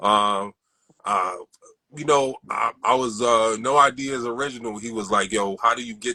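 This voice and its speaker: A man speaks with a New York accent at medium pitch, fairly slowly. His tone is bright and sharp, with ordinary pitch variation. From Brooklyn, New York (Crown Heights). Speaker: sneaker collector. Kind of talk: interview. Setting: livestream.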